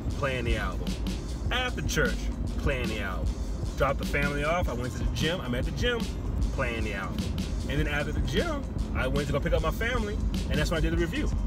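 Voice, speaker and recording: Over loud background music, a man talks at a fairly quick pace in a dry sound with no echo. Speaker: music album reviewer. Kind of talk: casual vlog chat. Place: car. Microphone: phone near.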